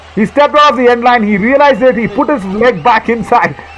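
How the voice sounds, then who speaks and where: A man's voice shows ordinary pitch variation. Noticeable background noise sits behind him. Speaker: kabaddi commentator. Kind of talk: live commentary. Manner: animated; loud.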